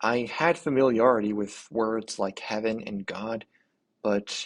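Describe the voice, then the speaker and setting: Against a quiet background, a man with an American accent speaks at medium pitch with fairly even intonation. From US, Pennsylvania (Harrisburg area). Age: 20s. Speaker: YouTuber, religious convert. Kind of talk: personal testimony. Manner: somewhat halting, with repetitions.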